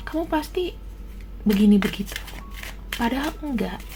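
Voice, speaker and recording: Soft-spoken, a woman talks with noticeable background noise and audible room echo. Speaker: tarot reader. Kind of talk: tarot reading. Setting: at home, baby sleeping nearby.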